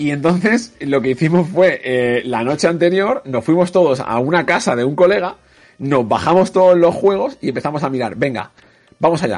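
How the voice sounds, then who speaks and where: With an ordinary speaking voice, a man talks at a moderate pace and a fairly high pitch, his intonation lively. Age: 30s. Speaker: esports commentator. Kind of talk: casual chat.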